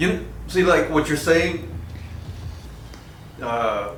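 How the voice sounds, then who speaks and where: A man talks at a fairly slow pace. Noticeable background noise and audible room echo surround him. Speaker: sales trainee. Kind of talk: casual chat. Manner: halting.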